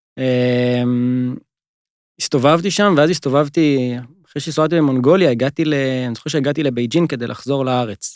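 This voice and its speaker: Here is a normal speaking voice from a man, pitched fairly high. He keeps a moderate pace and a typical amount of pitch movement. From northern Israel, Givat Ela. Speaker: travel company co-founder. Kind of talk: interview conversation.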